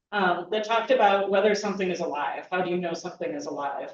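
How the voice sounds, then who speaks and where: Audible room echo colors the recording. A woman with a medium pitch speaks with lively intonation. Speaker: state agency executive director. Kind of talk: welcome speech. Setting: conference hall with audience. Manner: loud.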